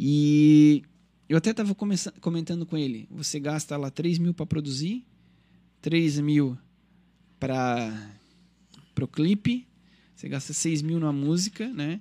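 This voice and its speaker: A man's fairly high, dark and mellow voice at a fairly slow pace, on a very clean recording with a silent background. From Criciúma, Santa Catarina, southern Brazil. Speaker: singer and musician. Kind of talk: radio interview, casual chat.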